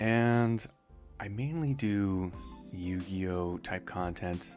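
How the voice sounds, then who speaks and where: Music plays in the background as a man talks in a relaxed tone. His pitch variation is ordinary. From Canada, Vancouver Island. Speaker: artist and content creator. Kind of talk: casual rambling talk to camera. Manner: soft, relaxed, rambling.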